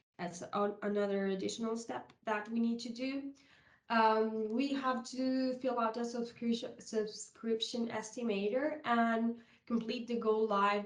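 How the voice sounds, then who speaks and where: A woman speaks at a fairly slow pace with a fairly high pitch and fairly even intonation. Audible room echo surrounds her voice. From South America. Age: 30s. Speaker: software consultant. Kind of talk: conference presentation. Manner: halting, with many fillers.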